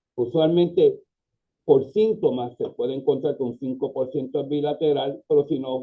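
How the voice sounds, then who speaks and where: A man with a Puerto Rican accent, speaking at a moderate pace. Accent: Puerto Rican Spanish, drops S. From Puerto Rico. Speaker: pediatric orthopedic surgeon. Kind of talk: lecture.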